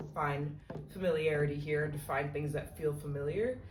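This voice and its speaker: A woman with an American accent and a very deep, low pitch, with fairly even intonation at a moderate pace, amid noticeable background noise and audible room echo. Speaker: vlogger, study abroad student. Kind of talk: casual vlog talk. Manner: casual, many fillers.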